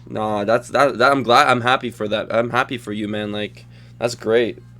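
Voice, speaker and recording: A man at medium pitch and a moderate pace, his intonation monotone and flat, with music in the background. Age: 20s. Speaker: podcast host. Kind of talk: casual chat. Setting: online group call.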